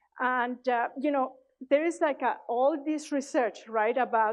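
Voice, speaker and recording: A woman with a Mexican accent speaks at a moderate pace in a high voice, her pitch varying in an ordinary way. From Mexico. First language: Spanish. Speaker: conference speaker, tech leader. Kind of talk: conference talk. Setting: stage with audience. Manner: hesitant, many fillers.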